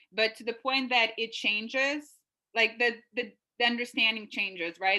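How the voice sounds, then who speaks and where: A woman's bright, sharp tone at a moderate pace with fairly even intonation. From Lithuania, Klaipeda. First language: Lithuanian. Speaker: consultant, university alumna. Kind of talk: webinar interview.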